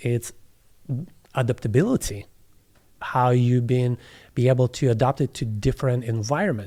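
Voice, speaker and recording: A man with a Russian accent speaks at a moderate pace in a medium pitch, with a dark, mellow tone and ordinary pitch variation. The very clean recording has a silent background, a dry, close sound with no echo, and long, frequent pauses. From southeast Russia, near Kazakhstan border. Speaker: plant medicine facilitator. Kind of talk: interview. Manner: halting.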